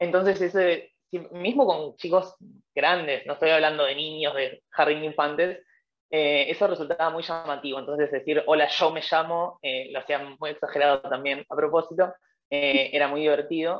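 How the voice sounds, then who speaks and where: Her voice is very deep and low, and this woman speaks at a moderate pace with fairly even intonation. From Argentina. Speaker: former language assistant. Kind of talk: webinar panel interview. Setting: online webinar. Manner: hesitant, many fillers.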